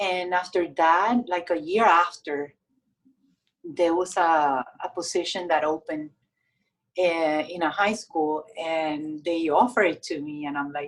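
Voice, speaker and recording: In a Puerto Rican accent, a woman with a fairly low pitch talks at a fairly slow pace. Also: ordinary pitch variation. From Puerto Rico. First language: Spanish. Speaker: domestic violence victim advocate. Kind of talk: interview. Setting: podcast.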